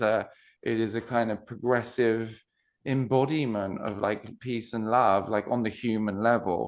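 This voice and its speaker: In a British accent, a man talks at a fairly slow pace with a medium pitch and fairly even intonation against a quiet background. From UK. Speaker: non-duality coach. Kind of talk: podcast interview. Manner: halting, many restarts.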